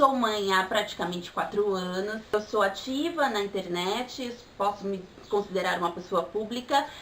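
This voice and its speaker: Over noticeable background noise, the speech keeps a moderate pace and ordinary pitch variation. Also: woman, medium pitch for a woman. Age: 20s. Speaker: vlogger, pagan mother. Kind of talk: vlog monologue.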